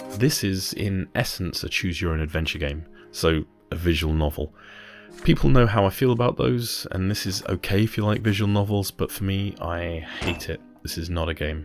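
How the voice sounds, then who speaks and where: A man's very deep, low voice at a moderate pace, ordinary pitch variation, and music in the background. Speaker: gaming channel host. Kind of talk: game review narration. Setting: home recording, popping plosives. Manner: soft, breathy.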